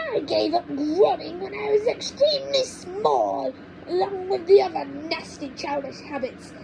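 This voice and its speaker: A woman uses a put-on character voice at an extremely high pitch. She keeps a moderate pace over clear background noise. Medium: read story. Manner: snappish, bossy, complaining.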